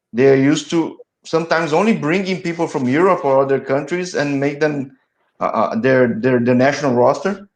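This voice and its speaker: A man with a Portuguese accent talks at a fairly quick pace in a fairly high voice with ordinary pitch variation. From Brazil. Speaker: soccer interviewer, channel host. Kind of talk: interview. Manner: halting, frequent repetitions and false starts.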